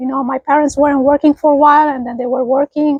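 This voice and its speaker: Her voice is high-pitched, with fairly even intonation. The sound is dry and close, with no echo. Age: 50s. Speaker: vlogger. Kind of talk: casual reminiscing monologue. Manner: halting, many fillers.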